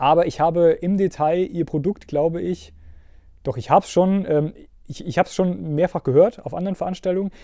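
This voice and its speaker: A man's high voice with a dark, mellow tone and ordinary pitch variation, at a fairly quick pace on a very clean recording with a silent background and a dry, close sound with no echo. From Mittelhessen, Germany. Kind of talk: podcast interview. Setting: studio.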